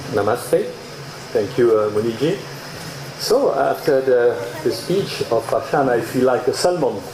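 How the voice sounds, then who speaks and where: A man with a French accent speaks at a fairly slow pace with very even loudness and long, frequent pauses. Audible room echo and noticeable background noise are present. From Mauritius, grew up in France. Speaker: AI researcher and speaker. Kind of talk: conference talk.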